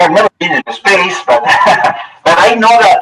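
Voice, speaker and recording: Someone speaks in a Spanish accent. Music plays in the background. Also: man. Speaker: TV weather anchor. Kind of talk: presentation to school students. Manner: halting.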